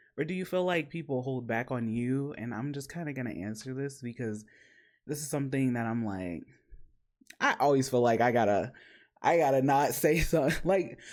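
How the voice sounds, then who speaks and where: A man with a medium pitch speaks fairly quickly. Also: ordinary pitch variation. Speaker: podcast host and streamer. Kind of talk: casual panel discussion. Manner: animated, passionate.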